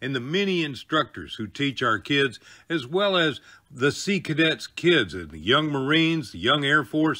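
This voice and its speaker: An unremarkable speaking voice moves at a moderate pace, with lively intonation and big swings in loudness. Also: man. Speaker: veteran and show host. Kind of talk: show trailer narration.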